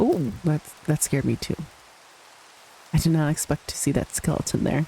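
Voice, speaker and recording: The speaker is soft-spoken, with a relaxed tone. Noticeable background noise is present. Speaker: gaming video creator. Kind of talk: voice-over gameplay commentary. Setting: voice-over recorded after gameplay.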